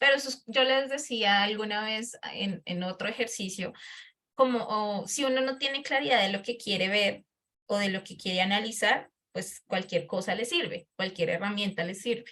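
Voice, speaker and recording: A woman's medium-pitched voice with a bright, sharp tone, ordinary pitch variation and a moderate pace. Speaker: lecturer. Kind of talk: lecture.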